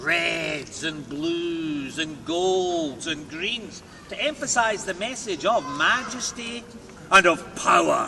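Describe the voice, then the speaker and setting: A very slow man with a central Scottish accent, high in pitch with lively intonation, over noticeable background noise. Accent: Scottish, Stirling. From Scotland. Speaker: castle tour guide. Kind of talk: guided tour commentary. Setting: outdoors. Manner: dramatic, storytelling.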